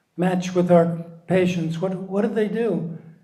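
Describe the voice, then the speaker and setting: A man with a high voice speaks at a fairly slow pace, with audible room echo. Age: 70s. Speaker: founder of a volunteer support organization, psychologist. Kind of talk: interview.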